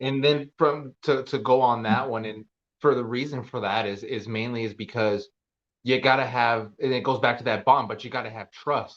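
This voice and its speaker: In a normal speaking voice, a man talks at a moderate pace and medium pitch with fairly even intonation. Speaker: podcast host; veteran. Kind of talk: podcast interview host talk.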